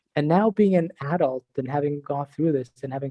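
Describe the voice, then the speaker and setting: A man talks at a fairly quick pace with an Iranian accent. His voice is somewhat breathy, with ordinary pitch variation. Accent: Iranian (Persian) accent in English. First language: not English (English was his fourth language). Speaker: director of product and university instructor. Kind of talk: podcast interview.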